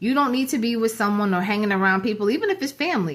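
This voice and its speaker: Speaking at a very fast pace, a woman with an American accent uses a fairly high pitch. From New Jersey. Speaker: YouTuber. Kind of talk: casual vlog monologue.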